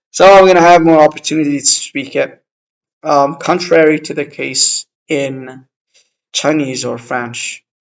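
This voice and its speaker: A man's fairly high voice at a fairly slow pace, with an Arabic accent and fairly even intonation. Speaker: language-learning vlogger. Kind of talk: casual vlog monologue. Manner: halting, many fillers.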